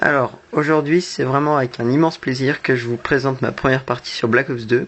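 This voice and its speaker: A man's medium-pitched voice at a fairly quick pace, with fairly even intonation. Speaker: gamer. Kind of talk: gameplay commentary. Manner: not very expressive.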